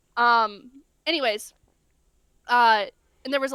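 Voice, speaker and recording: A woman speaks in a raised, projected voice with an animated, bright and sharp tone. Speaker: novelist, co-author. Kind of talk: podcast interview, casual chat. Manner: fast; animated, rambling with fillers.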